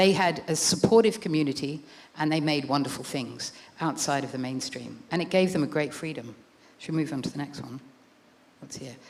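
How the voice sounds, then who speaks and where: A woman's very deep, low voice with an Australian accent, fairly quick in pace, with ordinary pitch variation, big swings in loudness, long, frequent pauses and noticeable background noise. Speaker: author and art writer. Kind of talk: book talk with slides.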